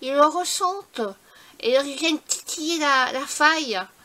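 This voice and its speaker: A woman's raised, projected voice, bright and sharp in tone, with lively intonation. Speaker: scrapbooking YouTuber. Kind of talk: casual vlog talk. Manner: halting.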